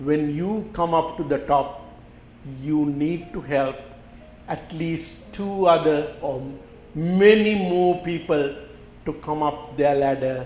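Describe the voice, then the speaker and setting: In a room with audible echo, a man with a fairly high pitch speaks very slowly, with ordinary pitch variation and long, frequent pauses. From Sri Lanka. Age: 70s. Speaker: doctor. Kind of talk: interview. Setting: studio.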